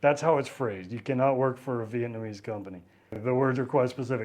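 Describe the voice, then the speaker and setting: This speaker talks with a Texan accent. The pace is fairly quick. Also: man. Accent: Texan Southern US. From East Texas, near Louisiana. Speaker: travel vlogger. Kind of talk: casual travel vlog monologue. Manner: casual with frequent repetitions and false starts.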